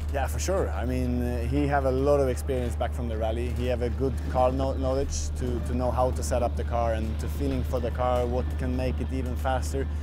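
Clear music plays behind a man with a very deep, low voice. He speaks at a fairly quick pace in a monotone, flat way. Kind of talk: interview answer. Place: tent.

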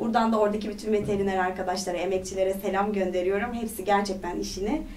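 A woman talks at a very fast pace with fairly even intonation. Light background noise can be heard. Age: 30s. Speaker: parliamentary candidate, politician; candidate, politician. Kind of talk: interview. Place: studio.

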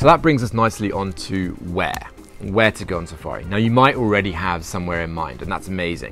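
Over faint music in the background, a man with a very deep, low pitch talks at a fairly quick pace, the sound dry with no echo. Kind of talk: tutorial. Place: garden.

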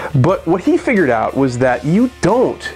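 A man speaks at a moderate pace. Faint music plays in the background. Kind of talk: tutorial. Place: workshop.

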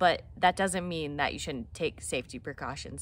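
A woman at a fairly quick pace, the sound dry with no echo. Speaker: hiking vlogger. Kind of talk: casual vlog chat. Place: garden. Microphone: phone near.

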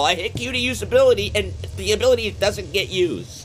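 A man speaks at a fairly quick pace over faint music in the background. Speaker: gaming streamer. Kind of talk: live gameplay stream; casual stream commentary. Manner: stutters mid-sentence. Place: home room. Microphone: studio mic.

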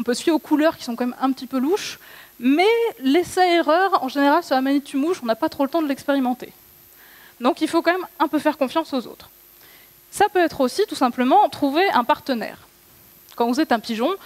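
A woman talks in a high pitch at a moderate pace. Her speech has long, frequent pauses. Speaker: conference speaker. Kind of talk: lecture. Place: stage. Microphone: headset.

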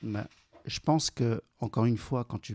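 A man is speaking. His voice is somewhat breathy. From China, raised in central Paris from age 10. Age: 40s. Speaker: entrepreneur. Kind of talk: interview.

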